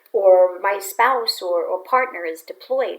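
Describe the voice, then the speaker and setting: A woman talks at a fairly slow pace. She has a slight New York accent. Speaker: psychotherapist and podcast host. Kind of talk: advice podcast monologue.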